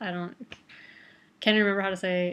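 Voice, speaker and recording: With a Midwestern American accent, the speaker talks at a fairly quick pace with fairly even intonation. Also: woman. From Toledo, Ohio, Midwest US. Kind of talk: casual talk to camera.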